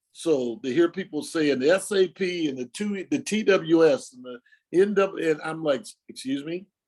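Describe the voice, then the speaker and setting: Speaking at a fairly slow pace, a man uses a high-pitched voice. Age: 70s. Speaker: retired fire captain. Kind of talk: oral history interview. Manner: halting.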